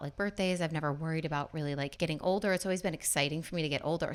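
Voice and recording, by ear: A woman speaks in a low voice, her pitch moving up and down in an ordinary way.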